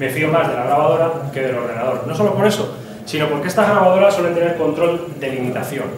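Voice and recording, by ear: Fast speech with lively intonation carries audible room echo. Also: man, fairly high pitch for a man.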